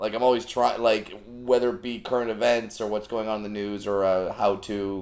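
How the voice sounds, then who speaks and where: In an unremarkable speaking voice, a man speaks at a medium pitch and moderate pace, with fairly even intonation. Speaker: comedian. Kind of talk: podcast guest conversation.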